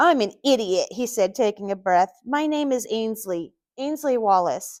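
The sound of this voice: Against a quiet background comes an unforced reading voice with lively intonation.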